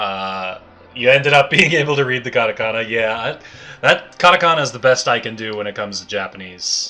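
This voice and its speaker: A man with a Canadian accent talks at a fairly quick pace, his pitch medium with ordinary variation. His loudness swings widely, and noticeable background noise sits behind him. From Canada. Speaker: video game streamer. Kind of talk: casual livestream chat. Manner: casual, hesitant with fillers.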